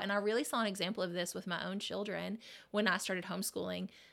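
A woman's voice with vocal fry, very cleanly recorded against total silence. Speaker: therapist. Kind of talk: casual interview chat.

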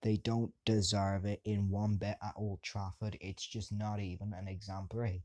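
A man's fairly low, dark, mellow voice stays monotone and flat, heard dry and close with no echo on a very clean recording with a silent background. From England. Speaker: football fan podcaster. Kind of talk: monologue rant.

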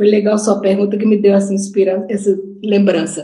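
Speaking in a northeastern Brazilian accent, a woman has a dark, mellow tone. Her voice is somewhat breathy. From Brazil, Natal (Northeast). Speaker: retired education professor. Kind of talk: online lecture. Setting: video call.

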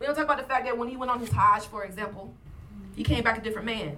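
Audible room echo and noticeable background noise accompany a woman speaking at a very fast pace with ordinary pitch variation and an American accent. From US South. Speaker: podcast co-host, professor and writer. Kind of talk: casual chat and interviews.

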